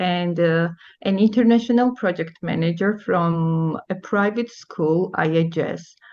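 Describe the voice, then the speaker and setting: A woman speaks with a Georgian accent. She goes at a fairly slow pace with ordinary pitch variation. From Georgia (country). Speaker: teacher. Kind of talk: presentation. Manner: halting.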